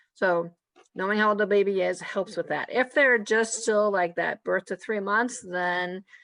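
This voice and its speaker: A woman's fairly even intonation and medium pitch come through against a quiet background. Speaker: feeding therapist presenter. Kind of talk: webinar presentation with Q&A. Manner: fast.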